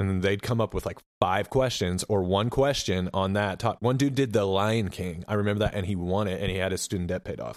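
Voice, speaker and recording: With an American accent and an unremarkable speaking voice, a man talks at a moderate pace in a fairly low pitch with ordinary pitch variation, on a very clean recording with a silent background. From Oklahoma. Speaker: podcast host. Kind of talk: casual chat.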